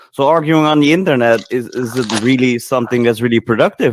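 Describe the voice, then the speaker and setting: With a non-native accent, a man speaks at a medium pitch with ordinary pitch variation in a dry, close sound with no echo. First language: not English. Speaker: participant in online voice chat. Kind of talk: casual debate chat. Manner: halting, with self-corrections.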